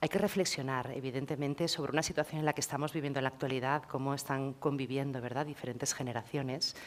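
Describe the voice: A woman's extremely low-pitched voice at a fast pace, with fairly even intonation.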